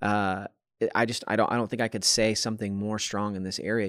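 A man with a normal speaking voice and fairly low pitch talks at a fairly quick pace, recorded very clean with a silent background and a dry, close sound with no echo. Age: 30s. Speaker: podcast host. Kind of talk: casual chat.

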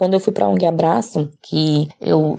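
Her tone is dark and mellow, with a very deep, low pitch. The woman speaks at a fairly slow pace. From interior of Bahia, Brazil. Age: 30s. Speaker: mother and caregiver. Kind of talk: personal testimony.

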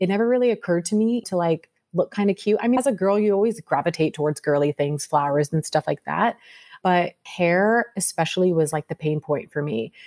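A woman with an American accent and a normal speaking voice, fairly low in pitch, with lively intonation, very even loudness and a fairly quick pace, on a very clean recording with a silent background and a dry, close sound with no echo. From Sacramento, California. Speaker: beauty entrepreneur. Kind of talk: interview.

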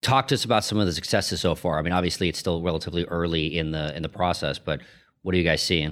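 This man's voice is very deep and low, with ordinary pitch variation and a very fast pace. The recording is very clean, with a silent background. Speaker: podcast host. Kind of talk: interview.

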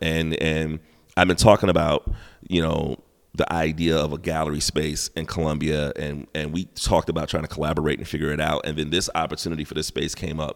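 In an American accent, a man with a very deep, low voice talks at a fairly quick pace in a flat monotone. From South Carolina. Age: 40s. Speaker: hip hop artist and gallery owner. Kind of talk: casual interview chat. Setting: art gallery.

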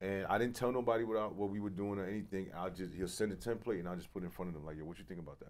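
Speaking very fast with hardly any pauses, a man with a New York accent uses a fairly low pitch, ordinary pitch variation and big swings in loudness. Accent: New York City. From Brooklyn, New York. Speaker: podcast co-host and magazine founder. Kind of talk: casual interview.

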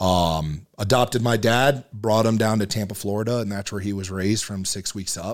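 A man with an American accent, fairly low in pitch, at a moderate pace and with fairly even intonation. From US South, Marietta, Georgia. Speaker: blacksmith and knife maker, army veteran. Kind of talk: casual interview conversation.

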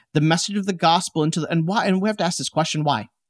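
A man with an American accent and ordinary pitch variation, in a very clean, dry, close recording with a silent background and no echo. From Chicago, US Midwest. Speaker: theologian. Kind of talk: interview conversation. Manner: energetic.

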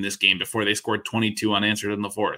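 A man's bright, sharp voice at a fairly quick pace, on a very clean recording with a silent background. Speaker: fantasy football analyst. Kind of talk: casual sports analysis chat.

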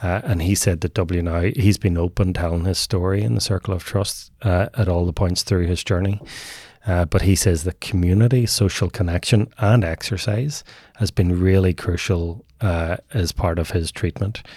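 A man with a Northern Irish accent speaks at a moderate pace in a very deep, low, somewhat breathy voice with a dark, mellow tone and ordinary pitch variation. The recording is very clean and dry, close with no echo, over a silent background. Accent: Northern Irish (Tyrone). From Northern Ireland, Omagh, County Tyrone. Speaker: men's mental health program co-founder. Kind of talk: interview conversation.

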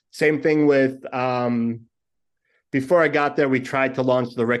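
A man's medium-pitched voice with a New York accent, fairly even in intonation, at a moderate pace over a quiet background. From New York (Brooklyn). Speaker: podcast producer and host. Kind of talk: casual chat.

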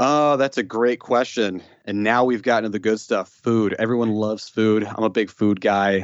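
A man with an American accent talks at a moderate pace, with medium pitch and fairly even intonation. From Chicago, northwest side. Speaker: financial educator and musician. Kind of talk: casual interview.

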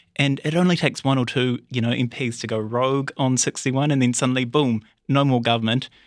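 On a very clean recording with a silent background, a man talks very fast with fairly even intonation. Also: medium pitch for a man. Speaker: political reporter. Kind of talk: news analysis interview.

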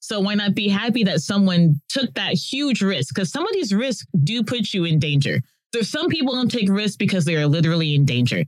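With an American accent, a woman talks at a fairly quick pace at a medium pitch, her voice moving in very wide pitch swings. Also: hardly any pauses. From Texas. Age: 30s. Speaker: zookeeper. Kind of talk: casual chat.

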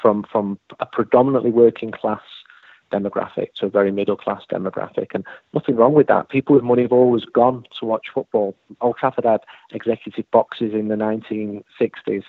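A man speaks at a fairly quick pace with fairly even intonation and a medium pitch. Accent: Mancunian. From Manchester, England. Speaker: football journalist. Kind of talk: interview.

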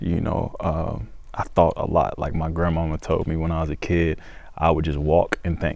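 A man speaks with a slight Southern US accent. His very deep, low voice holds a monotone, flat intonation. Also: moderate pace. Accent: Southern US, slight twang. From Georgia, US. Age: 20s. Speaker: country singer-songwriter. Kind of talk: casual interview chat. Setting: studio. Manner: mature, thoughtful.

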